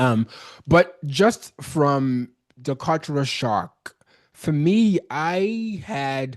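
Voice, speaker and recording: Speaking at a very slow pace with lively intonation, a man with a Nigerian accent is heard over a quiet background. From Nigeria, Benin City. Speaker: business consultant. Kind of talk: interview. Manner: casual, halting with false starts.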